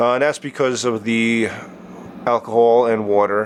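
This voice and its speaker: A man's medium-pitched, monotone, flat delivery against noticeable background noise. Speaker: liquid light show artist. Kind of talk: tutorial. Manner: casual, filler-heavy; fast.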